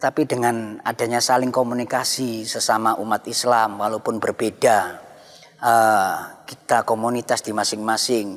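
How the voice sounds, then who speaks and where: A man speaks against a quiet background. His intonation is flat and monotone. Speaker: Islamic cleric. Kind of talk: religious panel discussion. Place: church. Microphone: lapel.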